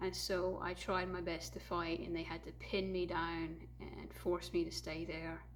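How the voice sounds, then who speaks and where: Audible room echo and noticeable background noise surround the recording. A woman talks at a fairly slow pace. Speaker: YouTuber sharing personal memories. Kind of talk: personal testimony. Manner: halting.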